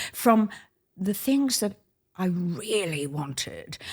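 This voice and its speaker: A woman speaks with an Australian accent at a fairly low pitch. Her pitch swings very widely. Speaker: retired ballet dancer. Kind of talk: interview. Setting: at a dining table. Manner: animated.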